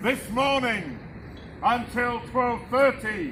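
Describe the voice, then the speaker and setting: A man's raised, projected voice, extremely high in pitch, theatrical in tone and very slow, over noticeable background noise. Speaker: town crier. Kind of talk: town crier proclamation. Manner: loud, theatrical, formal proclamation.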